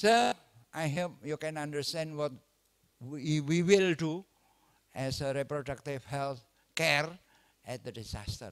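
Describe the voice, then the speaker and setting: Speaking in an Indonesian accent, a man with a fairly high pitch talks at a fairly slow pace, leaving long, frequent pauses against a quiet background. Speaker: obstetrician lecturer. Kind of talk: lecture. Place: hall.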